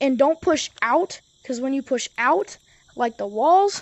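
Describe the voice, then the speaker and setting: With an animated tone, a woman speaks at a high pitch and a fairly slow pace. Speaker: gaming YouTuber. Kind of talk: tutorial. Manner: stutters; casual, animated.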